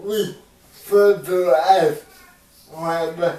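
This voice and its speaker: A man speaks very slowly with an American accent, his pitch high and his intonation monotone and flat. Noticeable background noise runs under his voice. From US Pacific Northwest. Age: 20s. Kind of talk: casual family conversation.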